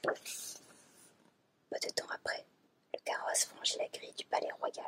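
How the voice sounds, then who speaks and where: A woman whispering, in a dry, close sound with no echo. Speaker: ASMR creator. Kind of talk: fairy tale reading from a book.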